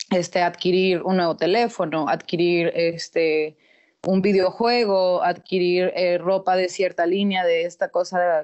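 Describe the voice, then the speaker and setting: A woman speaks at a fairly slow pace with a fairly low pitch. Her loudness stays very even. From Mexico, Torreón, Coahuila. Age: 20s. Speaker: sociologist. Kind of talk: casual chat.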